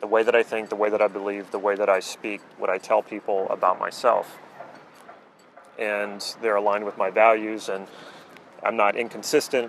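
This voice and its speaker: Through light background noise, a man speaks at a moderate pace and fairly low pitch with monotone, flat intonation, the sound dry with no echo. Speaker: coach. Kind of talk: explanatory talk to camera. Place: waterside.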